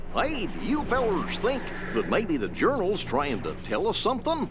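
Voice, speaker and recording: Through loud background noise, a man does a put-on character voice, drawling in a high pitch at a moderate pace. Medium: video game. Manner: folksy, drawling.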